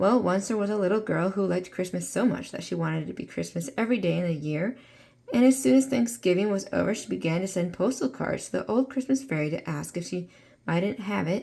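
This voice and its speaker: Using a raspy, put-on character voice, a woman talks at a very fast pace with medium pitch and lively intonation. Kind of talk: bedtime story. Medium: read story. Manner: warm, storytelling.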